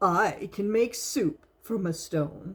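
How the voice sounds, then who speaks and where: At a middle pitch, the speaker performs in a put-on character voice. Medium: read story. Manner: coaxing, sly.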